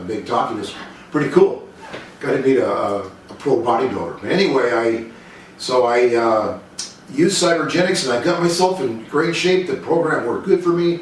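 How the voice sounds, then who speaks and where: With audible room echo and noticeable background noise, a man talks at a fairly quick pace with lively intonation. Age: 60s. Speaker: bodybuilder and vlogger. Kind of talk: personal talk to camera. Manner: halting, many fillers.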